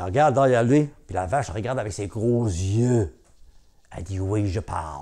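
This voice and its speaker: A man speaks at a moderate pace in a fairly low pitch with a dark, mellow tone and lively intonation. The background is quiet. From Newfoundland, Cap-Saint-Georges (Franco-Newfoundlander); Newfoundland. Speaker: storyteller. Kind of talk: oral storytelling. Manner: hesitant, many fillers. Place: home room.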